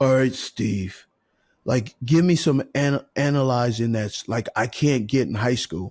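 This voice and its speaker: A man's whiny, put-on character voice at medium pitch and a fairly slow pace. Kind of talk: complaining, petulant.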